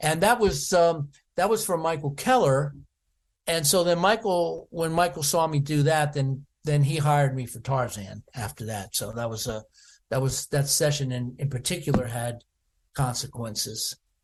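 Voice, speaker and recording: A man with an American accent speaks in a fairly high, somewhat breathy voice with lively intonation against a quiet background. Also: moderate pace. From US, Washington DC. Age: 70s. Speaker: percussionist. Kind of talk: interview. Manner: halting, many fillers.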